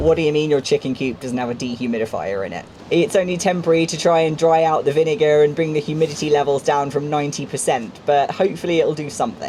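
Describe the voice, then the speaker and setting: A man talks at a very fast pace with hardly any pauses. His pitch is fairly high with ordinary variation, and there is noticeable background noise. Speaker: rural cottage renovator. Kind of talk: casual vlog narration.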